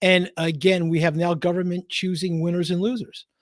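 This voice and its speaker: A man with a Philadelphia accent, high-pitched and animated, at a moderate pace on a very clean recording with a silent background. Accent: Philly. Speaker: accountant. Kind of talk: casual live-stream Q&A. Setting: basement live stream, sharing one mic. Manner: animated, emphatic; halting, many fillers.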